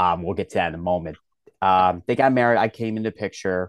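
Against a quiet background with a dry, close sound and no echo, a man with a slight Philadelphia accent talks at a fairly quick pace in a very deep, low pitch with ordinary pitch variation. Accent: Philadelphia American, slight. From Philadelphia, US Northeast. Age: 30s. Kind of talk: casual interview chat.

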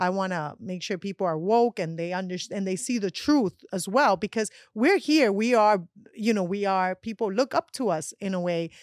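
A woman with a Colombian accent speaks at a medium pitch with lively intonation, recorded very cleanly against a silent background with a dry, close sound and no echo. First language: Spanish. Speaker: actress and magazine contributor. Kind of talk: casual chat. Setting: studio.

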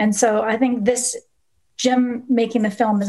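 A woman's voice sounds somewhat breathy. The background is quiet. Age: 50s. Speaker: documentary filmmaker. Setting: video call.

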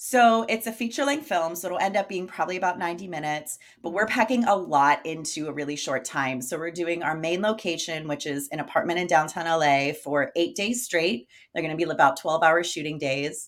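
In a normal speaking voice, a woman talks at a fairly quick pace with hardly any pauses, her pitch fairly low and her intonation lively. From US Northeast, Pittsburgh area. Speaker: actress and filmmaker. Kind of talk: casual interview chat.

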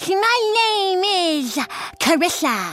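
An extremely high put-on character voice comes through over clear background noise. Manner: playful, silly.

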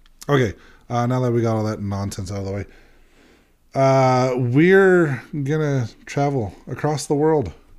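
A man at a moderate pace and medium pitch, with lively intonation and long, frequent pauses. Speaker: podcast co-host. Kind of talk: radio dj patter, a mock smooth-FM voice played for laughs over a casual banter.

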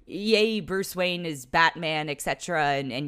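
A woman's ordinary speaking voice, fairly low in pitch, with a fairly quick pace and lively intonation, on a very clean recording with a silent background. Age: adult. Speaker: film critic podcast host. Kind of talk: solo film review.

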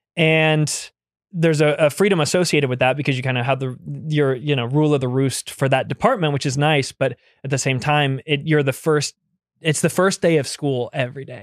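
Here a man with a plain, everyday voice talks at a fairly quick pace, his pitch fairly high. The sound is dry and close with no echo. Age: 30s. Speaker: on-set VFX supervisor. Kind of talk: casual chat.

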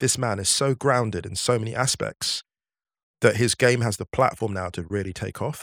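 Speaking in an ordinary speaking voice, a man keeps a moderate pace and a medium pitch that has ordinary pitch variation. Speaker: football writer. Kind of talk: casual chat.

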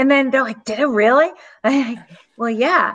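A woman's high voice with a Massachusetts accent and ordinary pitch variation. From Southeast Massachusetts.

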